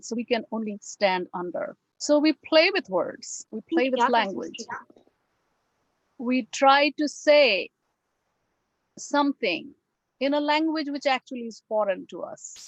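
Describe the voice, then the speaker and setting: A woman with a Bengali accent speaks at a high pitch and a fairly slow pace, with long, frequent pauses, big swings in loudness and lively intonation, in a dry, close recording with no echo. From India. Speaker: English professor. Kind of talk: lecture. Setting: video call.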